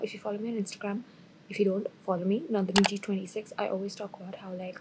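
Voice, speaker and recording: The voice is quiet and the pace very fast. Intonation stays fairly even. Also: woman. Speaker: student vlogger. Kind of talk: casual vlog talk. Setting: university building project room.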